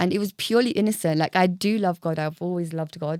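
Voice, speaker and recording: A woman with a strong English accent talks at a very fast pace, her tone dark and mellow. The recording is very clean, the background silent. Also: dry, close sound with no echo. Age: 30s. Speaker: podcast guest. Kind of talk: casual chat.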